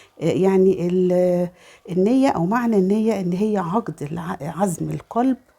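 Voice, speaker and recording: A woman speaks in an Egyptian accent with a dark, mellow tone at a medium pitch. Her pace is fairly slow, and her pitch varies in an ordinary way. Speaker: religious lifestyle vlogger. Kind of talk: religious talk. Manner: halting, many fillers.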